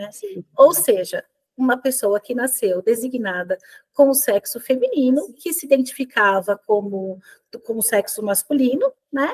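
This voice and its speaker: Heard with a dry, close sound with no echo, a woman with a high pitch speaks at a fairly slow pace with lively intonation and big swings in loudness. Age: 40s. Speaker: workplace wellbeing specialist. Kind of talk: webinar interview. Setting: video webinar.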